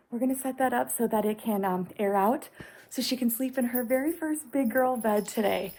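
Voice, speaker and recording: The voice is quiet and somewhat breathy, with a dark, mellow tone. It moves at a fairly quick pace with ordinary pitch variation. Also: woman. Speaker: home makeover YouTuber. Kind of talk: casual vlog talk. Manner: speaking quietly.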